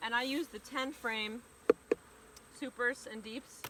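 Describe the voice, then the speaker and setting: A woman speaks loudly at a high pitch. Her pace is fairly slow. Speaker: beekeeper. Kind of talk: tutorial. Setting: outdoors.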